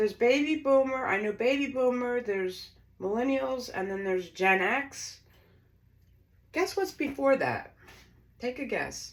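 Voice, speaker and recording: With a high pitch and an animated tone, a woman uses lively intonation at a fairly slow pace with long, frequent pauses. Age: 60s. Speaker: home baker, former bakery owner. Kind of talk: cooking tutorial. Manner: chatty, animated.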